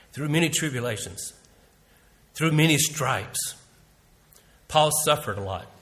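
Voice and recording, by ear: A man speaks at a fairly slow pace with a fairly high pitch and a fairly bright tone, and audible room echo surrounds him. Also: lively intonation.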